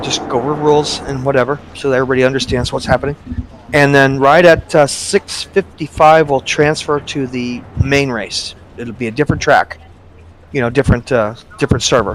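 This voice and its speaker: A man with a plain, everyday voice and a fairly high pitch talks with fairly even intonation. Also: fairly quick pace. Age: 60s. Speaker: sim racing league organizer. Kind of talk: casual chat.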